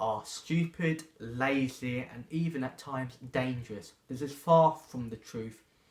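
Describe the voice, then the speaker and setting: A man with a fairly high pitch speaks somewhat breathily, his pitch varying in an ordinary way. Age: 20s. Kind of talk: personal testimony.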